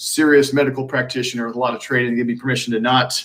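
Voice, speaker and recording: Very fast speech with a bright, sharp tone carries a slight Texan accent. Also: man. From Texas (Magnolia). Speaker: alternative medicine practitioner. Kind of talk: live Q&A stream. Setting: live stream. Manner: casual, animated.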